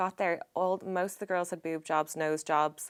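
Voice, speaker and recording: In a very clean recording with a silent background, a woman with an Irish accent speaks at a moderate pace. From Ireland. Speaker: former model and businesswoman. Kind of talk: casual chat. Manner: animated.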